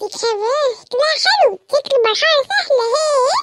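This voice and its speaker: It's a squeaky, cartoonish character voice. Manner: excitable, exclamatory.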